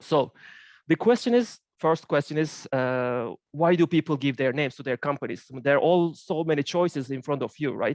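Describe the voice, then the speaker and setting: A man talks in a fairly high pitch with ordinary pitch variation. The sound is dry and close with no echo, against a quiet background. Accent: Turkish. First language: Turkish. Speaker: finance professor. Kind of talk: academic seminar presentation. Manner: halting, many fillers.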